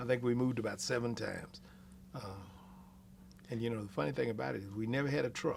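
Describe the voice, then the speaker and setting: Very fast speech from a man with an American accent, medium pitch and ordinary pitch variation, broken by long, frequent pauses. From Texas, Austin (East Austin). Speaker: oral history interviewee. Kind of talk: oral history interview. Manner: hesitant, many fillers.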